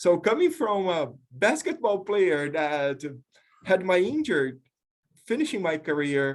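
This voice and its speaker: A man's high-pitched voice with very wide pitch swings and a Brazilian accent. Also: fairly slow pace. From Brazil, small town. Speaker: professor, leadership researcher. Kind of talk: panel discussion. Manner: halting, with repetitions.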